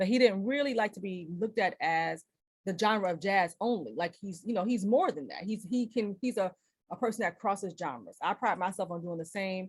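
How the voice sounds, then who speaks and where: Very fast and animated, a woman with an American accent talks in a somewhat breathy voice with ordinary pitch variation. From US Midwest, Cleveland, Ohio. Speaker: jazz vocalist and presenter. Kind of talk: lecture.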